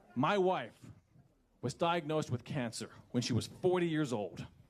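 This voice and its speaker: Vocal fry and very wide pitch swings in the speech of a man. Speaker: town hall attendee. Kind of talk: public confrontation at town hall. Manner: loud; impassioned.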